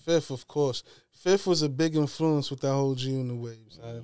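With a New York accent, a man speaks at a fairly quick pace on a very clean recording with a silent background. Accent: New York City. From Queens, New York. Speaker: hip-hop media personality. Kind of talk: casual chat. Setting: studio.

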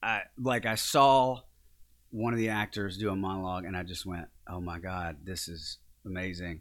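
This man has a very deep, low voice and a Louisiana accent, with ordinary pitch variation. He talks at a moderate pace on a very clean recording with a silent background. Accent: Southern US (Louisiana). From northern Louisiana, small town near Shreveport. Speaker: actor and acting coach. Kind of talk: casual interview.

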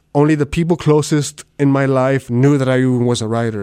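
In a very clean recording with a silent background, a man speaks with a South Texas accent at a moderate pace. His medium-pitched voice has a dark, mellow tone and fairly even intonation. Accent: South Texas Mexican-American English. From US South, Rio Grande Valley, Texas. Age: 30s. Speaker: novelist. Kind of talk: casual interview. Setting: on-site interview at a university.

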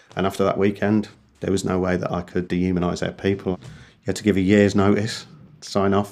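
A man's very fast, monotone delivery with flat intonation, on a very clean recording with a silent background. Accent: English. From England. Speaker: British Army veteran. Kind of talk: interview testimony.

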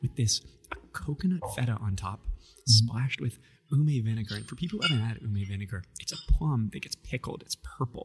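This man has a medium pitch and a somewhat breathy voice. He talks at a fairly quick pace with lively intonation. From US Midwest. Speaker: podcast host. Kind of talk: casual interview chat. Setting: live event on site. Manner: animated, upbeat.

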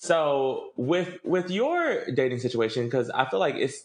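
In an unremarkable speaking voice, a man with a fairly high pitch talks at a fairly slow pace with lively intonation. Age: 20s. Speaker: podcast host. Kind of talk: casual interview chat.

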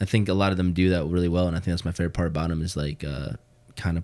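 The speaker has a Chicago accent. The recording is very clean, with a silent background. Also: man. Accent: Chicago-area American. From US Midwest, Hammond Indiana (Chicagoland). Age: 20s. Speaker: co-worker of host, video producer. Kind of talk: casual chat.

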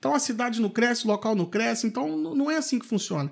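Over a silent background in a very clean recording, a man talks at a very fast pace with very wide pitch swings. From Brazil, Valença, Rio de Janeiro state. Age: 30s. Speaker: city councillor and dentist. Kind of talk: interview. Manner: hesitant, many fillers.

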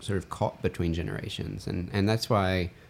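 In an American accent, a man speaks at a very deep, low pitch and a fairly quick pace. His intonation stays fairly even. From US South. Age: young. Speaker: independent film writer-director. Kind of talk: casual interview conversation.

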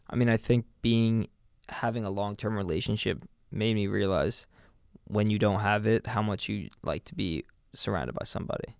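Recorded very cleanly against a silent background, a man with an American accent and a plain, everyday voice talks at a moderate pace, with a fairly low pitch and ordinary pitch variation. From New York City. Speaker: podcast co-host. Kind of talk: casual chat.

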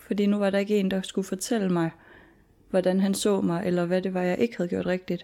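A woman's medium-pitched voice at a fairly quick pace, flat and monotone, with a dark, mellow tone on a very clean recording with a silent background. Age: 20s. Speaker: student and former heavy drinker. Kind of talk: personal testimony interview. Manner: halting.

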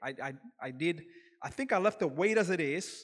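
In a Kenyan accent, the speaker uses lively intonation at a moderate pace on a very clean recording with a silent background. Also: man. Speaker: lay preacher. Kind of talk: sermon. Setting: church. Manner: halting.

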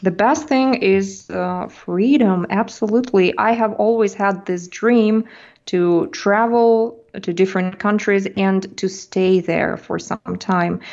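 A woman with a Russian accent talks at a very slow pace, with hardly any pauses and a medium pitch. Her pitch varies in an ordinary way, and the background is quiet. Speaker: language teacher and YouTuber. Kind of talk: interview.

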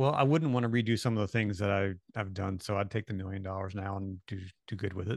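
A man with an American accent talks at a very fast pace. His pitch is fairly low with ordinary variation, and the background is quiet. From Maryland, US. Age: 50s. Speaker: documentary filmmaker. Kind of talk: casual interview.

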